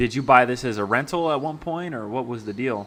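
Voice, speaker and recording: Speaking with an American accent, a man uses a medium pitch with ordinary pitch variation. His pace is moderate. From Maryland, US. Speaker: real estate wholesaling coach. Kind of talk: live-streamed sales calls and community chat. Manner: animated, energetic.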